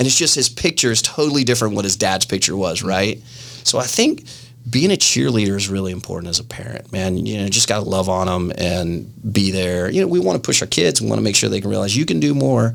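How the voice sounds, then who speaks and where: Speaking at a very fast pace, a man with a fairly low pitch uses lively intonation and vocal fry. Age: 40s. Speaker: martial arts instructor. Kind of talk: podcast interview. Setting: studio.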